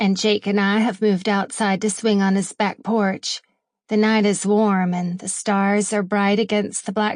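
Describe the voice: Quiet surroundings behind plain reading aloud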